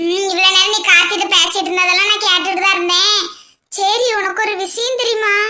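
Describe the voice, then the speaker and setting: A woman puts on a cartoonish character voice at an extremely high pitch. The delivery is monotone, with flat intonation. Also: moderate pace. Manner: teasing.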